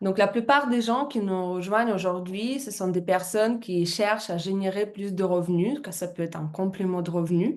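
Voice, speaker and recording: Her medium pitch and ordinary pitch variation mark this woman, who speaks at a fairly slow pace. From Russia. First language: Russian (speaking French). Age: 30s. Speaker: business presenter, former fitness coach. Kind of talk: business presentation. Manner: halting, many hesitations.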